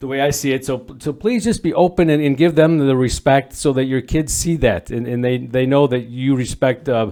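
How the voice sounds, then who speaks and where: Moving at a moderate pace with hardly any pauses, a man speaks at a fairly high pitch in a dark, mellow tone with ordinary pitch variation. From northern Illinois. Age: 60s. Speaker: volunteer dads group facilitator. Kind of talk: podcast interview. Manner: halting, many repeated words.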